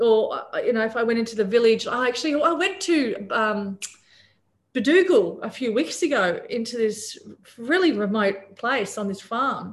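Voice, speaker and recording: In an Australian accent, a woman speaks at a moderate pace with a fairly high pitch and lively intonation. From Papua New Guinea. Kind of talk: casual interview. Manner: animated.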